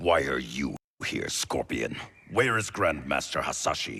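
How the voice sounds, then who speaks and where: A man's put-on, growling character voice, very deep and low, at a fairly slow pace. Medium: video game. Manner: guarded, firm.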